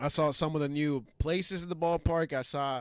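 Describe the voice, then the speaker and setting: A man speaks at a moderate pace in a fairly high voice, with an animated tone and ordinary pitch variation. The recording is very clean, with a silent background. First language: not English. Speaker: sports podcast co-host. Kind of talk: casual chat.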